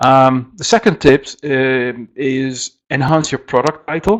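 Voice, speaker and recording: Over a quiet background, a man talks at medium pitch with a Dutch accent. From Netherlands. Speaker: software company presenter. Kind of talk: webinar presentation. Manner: halting, many fillers.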